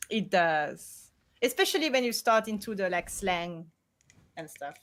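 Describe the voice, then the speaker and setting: A woman with a French accent speaks at a fairly slow pace and a medium pitch. Her intonation is lively, and her loudness swings widely. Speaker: streamer. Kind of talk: casual chat.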